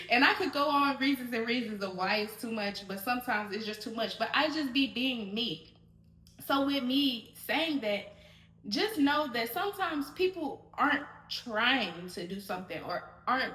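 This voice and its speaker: Loud and high-pitched, a woman is speaking. Her pitch swings very widely. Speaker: podcast host. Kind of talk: solo podcast monologue. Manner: loud, projected voice; animated, fast rambling.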